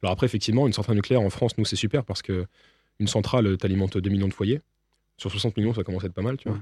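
A man speaks very fast in a fairly low, dark and mellow voice that is somewhat breathy. The recording is very clean, with a silent background and a dry, close sound with no echo. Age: 20s. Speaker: nuclear engineer. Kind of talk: interview.

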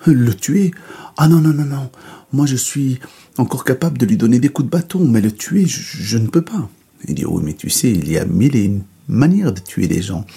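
A man at medium pitch speaks at a moderate pace in a dark, mellow, somewhat breathy tone, with very wide pitch swings. Long pauses come often. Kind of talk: bedtime story telling, a folktale told aloud. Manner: dwells on the donkey's comic flaws with playful, wry emphasis.

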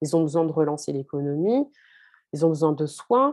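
A woman speaks with a very deep, low pitch and a dark, mellow tone. Her intonation is lively. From France, Haitian family. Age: 30s. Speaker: financial consultant. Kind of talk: interview.

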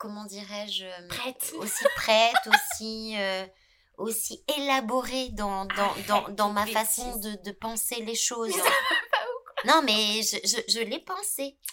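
A woman's fairly high voice, with ordinary pitch variation, at a very slow pace. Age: 50s. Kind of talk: casual chat. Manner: halting, many repetitions.

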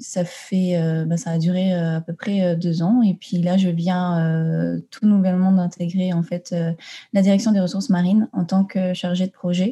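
A woman's dark, mellow voice at fairly low pitch, with little pitch movement and a moderate pace

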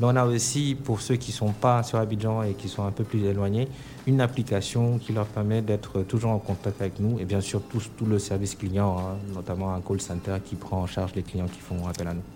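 A man speaks in a plain, everyday voice at a fairly low pitch, keeping a moderate pace with hardly any pauses and fairly even intonation. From Senegal. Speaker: bank marketing director. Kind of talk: radio interview. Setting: remote line (duplex) to radio studio.

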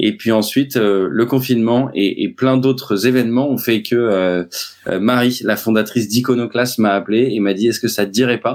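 Recorded very cleanly against a silent background, a man speaks at a moderate pace and medium pitch with fairly even intonation. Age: 40s. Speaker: sales trainer. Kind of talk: interview. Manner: hesitant, many fillers.

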